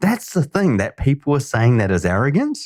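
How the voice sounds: At a moderate pace, a man speaks at a medium pitch with very wide pitch swings, in a dry, close sound with no echo.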